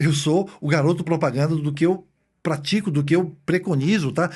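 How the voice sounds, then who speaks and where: A man with a fairly high pitch at a moderate pace against a quiet background. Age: 60s. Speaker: traditional Chinese medicine doctor. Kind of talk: podcast interview. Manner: conversational, with hesitations.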